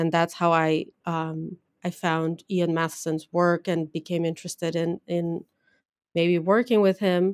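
Delivered in a Portuguese accent at a fairly slow pace, the speech is monotone and flat, with a dry, close sound and no echo. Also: woman, fairly low pitch for a woman. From Brazil. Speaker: geneticist, assistant professor. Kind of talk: interview.

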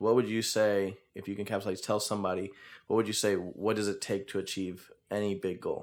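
There is an unremarkable speaking voice here, a man at a fairly low pitch with fairly even intonation and a moderate pace, recorded very cleanly against a silent background. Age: 20s. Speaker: podcast host. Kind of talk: casual interview chat.

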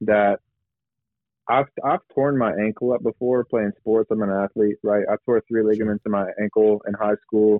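The clip has an unremarkable speaking voice at a moderate pace. Intonation stays fairly even. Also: man, fairly low pitch for a man. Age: 20s. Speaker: pastor. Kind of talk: casual chat.

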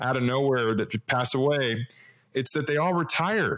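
A man's medium-pitched, plain, everyday voice at a moderate pace, on a very clean recording with a silent background. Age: 40s. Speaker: podcast host. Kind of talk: interview.

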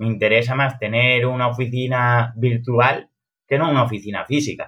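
A man with a normal speaking voice at medium pitch and a moderate pace. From Alcoy, Valencian Community, Spain. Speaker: crypto investor and metaverse builder. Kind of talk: podcast interview.

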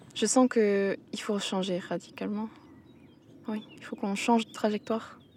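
A woman talks at a medium pitch with flat, monotone intonation. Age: 20s. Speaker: agricultural school student. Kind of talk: reflective monologue. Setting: outdoors.

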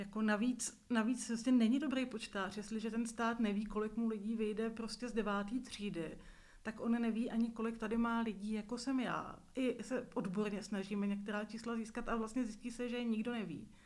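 A woman with a fairly high pitch and monotone, flat intonation, at a moderate pace with hardly any pauses and audible room echo. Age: 40s. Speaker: visually impaired media worker, nonprofit leader. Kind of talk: interview testimony.

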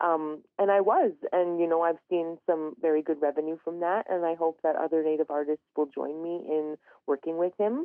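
A woman's fairly low-pitched voice at a fairly quick pace. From northern Alberta, Canada (Treaty 8 territory). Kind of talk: radio interview. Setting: phone or remote line.

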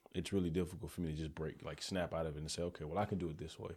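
Very deep, low-pitched man with fairly even intonation on a very clean recording with a silent background. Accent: Southern US. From Alabama (Birmingham area). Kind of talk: casual interview. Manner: halting.

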